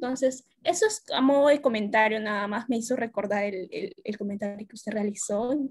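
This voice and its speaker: Against a quiet background, a woman talks with a fairly high pitch. Her voice is somewhat breathy, with hardly any pauses. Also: ordinary pitch variation. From Peru. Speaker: workshop participant. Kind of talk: audience question. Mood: calm, reflective. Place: home room. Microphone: video call.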